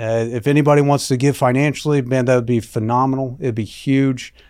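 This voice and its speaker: This man has an unremarkable speaking voice, pitched medium, with fairly even intonation and a moderate pace. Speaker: state senator. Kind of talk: interview. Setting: studio.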